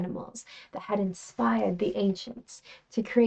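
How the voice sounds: The speaker reads aloud. The reading voice is natural.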